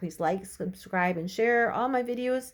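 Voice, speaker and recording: A woman's normal speaking voice, at a moderate pace with ordinary pitch variation. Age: 60s. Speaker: lifestyle video blogger. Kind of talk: casual tutorial. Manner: chatty, conversational.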